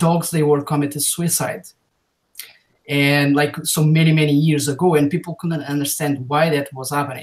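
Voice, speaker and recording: Speaking with a non-native accent, a man keeps his pitch fairly high. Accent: foreign. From Portugal. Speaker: YouTube video creator. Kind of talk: casual interview chat. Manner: halting, many fillers.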